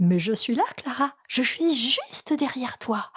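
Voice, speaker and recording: Put-on character voice from a woman, high-pitched and fairly slow. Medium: read story.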